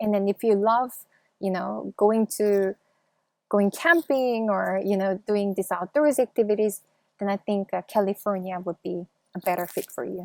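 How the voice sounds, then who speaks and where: A woman with a Korean accent speaks at a medium pitch and a moderate pace, in a very clean recording with a silent background and a dry, close sound with no echo. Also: ordinary pitch variation. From South Korea. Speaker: YouTuber. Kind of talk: interview.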